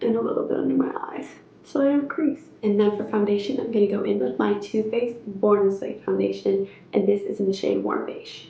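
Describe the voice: A woman speaks at a fairly quick pace in a medium pitch, with a dark, mellow tone, vocal fry, fairly even intonation and audible room echo.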